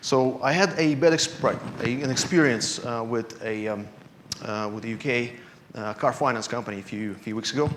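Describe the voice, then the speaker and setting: This man's voice shows ordinary pitch variation, with audible room echo and noticeable background noise in the recording. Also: medium pitch for a man, moderate pace. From Russia. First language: Russian. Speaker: security analyst. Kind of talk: conference talk. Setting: stage with audience. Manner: halting, many fillers.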